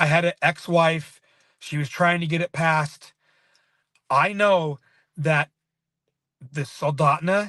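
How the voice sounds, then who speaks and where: Loud and bright with a sharp tone, a man talks very slowly with long, frequent pauses and fairly even intonation, the sound dry and close with no echo. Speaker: local activist. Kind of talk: casual interview on livestream. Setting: live stream.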